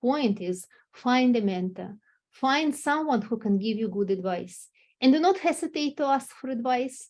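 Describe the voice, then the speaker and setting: At a moderate pace and with lively intonation, a woman speaks in a non-native accent at a fairly high pitch over a quiet background. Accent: foreign. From Russia. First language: Russian. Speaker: company executive. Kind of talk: interview.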